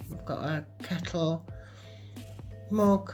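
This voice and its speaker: A woman speaks in a British accent while music plays in the background. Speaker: van camper. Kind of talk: home video voiceover. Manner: slow, hesitant.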